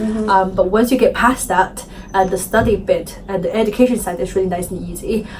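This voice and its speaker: This speaker talks with a non-native accent at a fairly quick pace. The intonation stays fairly even. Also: woman, medium pitch for a woman. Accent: foreign. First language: Chinese. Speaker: interviewee. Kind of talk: interview. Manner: hesitant, many fillers.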